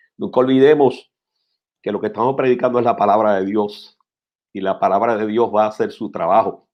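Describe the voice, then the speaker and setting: At a fairly quick pace, a man talks in an unremarkable speaking voice, medium in pitch with ordinary pitch variation. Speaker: pastor. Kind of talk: interview about preaching. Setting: live-streamed talk show.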